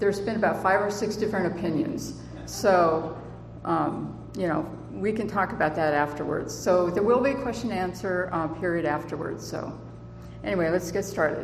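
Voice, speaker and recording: With a fairly low pitch and ordinary pitch variation, a woman speaks at a moderate pace. Audible room echo and noticeable background noise fill the recording. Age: 60s. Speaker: author and conference speaker. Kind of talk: conference presentation. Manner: halting, many fillers.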